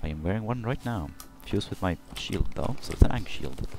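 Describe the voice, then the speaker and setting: The speaker talks at a fairly quick pace. The words come with a Swedish accent. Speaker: video game let's play co-host. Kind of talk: casual chat while gaming.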